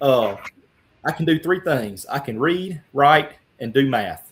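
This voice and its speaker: A man speaks with a Louisiana accent. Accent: Louisiana Southern accent, noticeable. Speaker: congressional candidate. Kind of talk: interview. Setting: live broadcast. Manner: animated.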